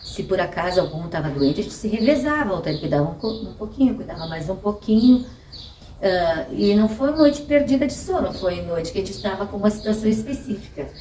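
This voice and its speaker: At a fairly quick pace, a woman of medium pitch makes very wide pitch swings and big swings in loudness, with audible room echo and noticeable background noise. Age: 60s. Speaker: mother interviewed about motherhood. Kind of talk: personal testimony.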